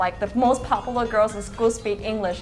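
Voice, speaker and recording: Over music in the background, a woman with a Thai accent speaks at a fairly quick pace with ordinary pitch variation. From Thailand, some childhood in Sweden. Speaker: guest interviewee. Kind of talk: casual interview chat. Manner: animated.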